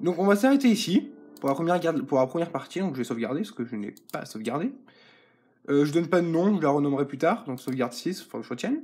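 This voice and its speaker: Very fast and high-pitched, a man's voice rushes along. Its pitch rises and falls across a very wide range. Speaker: gaming youtuber. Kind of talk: gameplay commentary. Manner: hesitant, many fillers.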